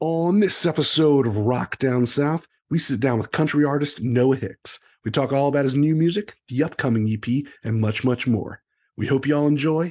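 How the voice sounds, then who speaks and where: Against a quiet background, a man with a fairly high pitch and ordinary pitch variation speaks at a moderate pace in an unremarkable speaking voice. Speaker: podcast host. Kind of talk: show intro.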